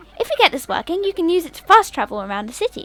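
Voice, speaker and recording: A woman puts on a character voice at an extremely high pitch, racing at a very fast pace with very wide pitch swings. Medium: game stream. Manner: enthusiastic.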